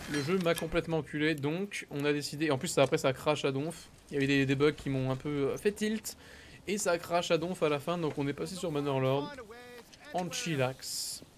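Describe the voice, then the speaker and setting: This man has an unremarkable speaking voice, fairly high in pitch, with ordinary pitch variation. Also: moderate pace. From France, Mayenne (Pays de la Loire). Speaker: streamer. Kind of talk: live stream chat. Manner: casual.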